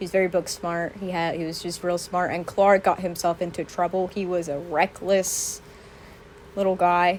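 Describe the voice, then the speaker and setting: Monotone and flat in intonation, the speech keeps a moderate pace. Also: woman, fairly low pitch for a woman. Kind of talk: casual Q&A talk to camera.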